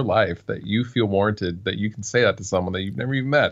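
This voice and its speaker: A man with fairly low pitch speaks in an unremarkable speaking voice with ordinary pitch variation. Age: 30s. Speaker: guitarist, YouTuber and audio engineer. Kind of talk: casual chat. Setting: live stream.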